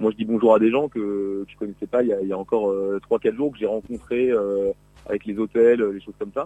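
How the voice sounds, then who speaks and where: Fairly low in pitch, this man has a dark, mellow tone. He moves at a fairly quick pace. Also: fairly even intonation. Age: 30s. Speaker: Tour de France caravan member. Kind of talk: radio interview. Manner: halting, many hesitations.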